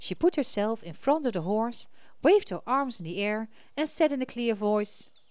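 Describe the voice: Lively intonation over plain reading aloud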